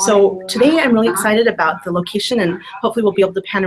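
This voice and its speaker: The speech runs at a very fast pace with ordinary pitch variation. Music plays in the background. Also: woman. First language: Spanish. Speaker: business trainer. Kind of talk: casual chat. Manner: animated.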